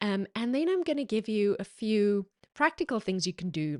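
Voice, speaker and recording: Very wide pitch swings mark a woman with an American accent speaking at a fairly slow pace. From South Africa. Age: 40s. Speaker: podcast host, ads marketing consultant. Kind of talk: solo podcast talk. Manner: casual, filler-heavy.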